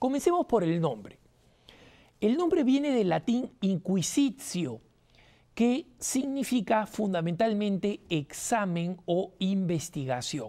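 At a very slow pace, a woman with medium pitch and a dark, mellow tone speaks with very wide pitch swings but very even loudness. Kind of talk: lecture. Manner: animated.

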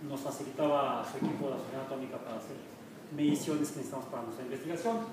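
A man speaks with ordinary pitch variation. Audible room echo and noticeable background noise are present. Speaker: university professor giving a talk. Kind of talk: lecture. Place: hall. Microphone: camera far.

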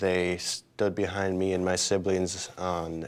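A man with an American accent, a very deep, low pitch and monotone, flat intonation. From Minnesota, USA. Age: young. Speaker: college student. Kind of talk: interview answer. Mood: calm, positive.

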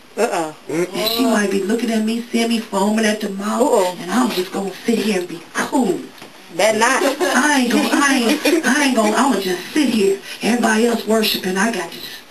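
Over loud background noise, a woman talks at a fairly quick pace. Her pitch varies in an ordinary way. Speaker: pastor. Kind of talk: sermon. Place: church.

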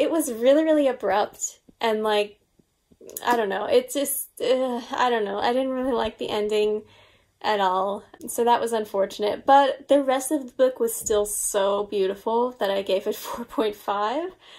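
With an American accent, the speaker moves at a fairly slow pace with ordinary pitch variation. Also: woman, fairly high pitch for a woman. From US, Long Island, New York; New York. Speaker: book YouTuber. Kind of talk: casual vlog monologue. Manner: animated. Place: home room.

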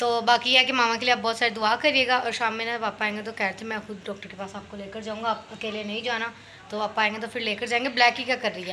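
A woman speaking very fast in a monotone, flat delivery with hardly any pauses, over light background noise. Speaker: family vlogger. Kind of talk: casual vlog chat. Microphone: phone near.

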